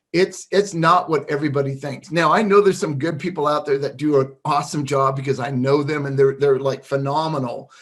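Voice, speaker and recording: A man talks fairly quickly in a somewhat breathy, fairly high voice whose intonation stays fairly even. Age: 60s. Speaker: digital marketing freelancer. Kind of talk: tutorial. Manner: casual, halting with fillers.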